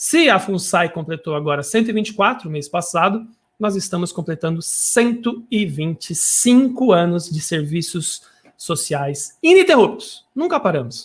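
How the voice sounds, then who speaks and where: Lively intonation marks a man's speech at a high pitch. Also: fairly slow pace. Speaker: web radio host. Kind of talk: live radio show. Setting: home studio, live broadcast. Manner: animated.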